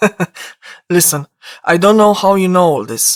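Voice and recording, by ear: In a quiet setting, a voice reads aloud naturally.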